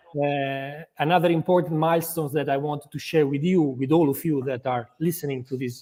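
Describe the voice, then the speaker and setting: A man with an Italian accent at a moderate pace, with ordinary pitch variation. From Italy, Modena. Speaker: football club executive. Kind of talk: interview. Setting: live video interview. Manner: halting, many repetitions and fillers.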